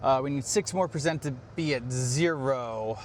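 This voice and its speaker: Here a man speaks at a fairly high pitch with ordinary pitch variation. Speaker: EV YouTuber. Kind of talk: casual vlog narration. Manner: hesitant, many fillers; quiet.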